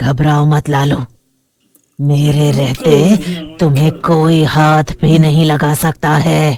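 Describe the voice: A cartoonish character voice at a middle pitch speaks at a very slow pace.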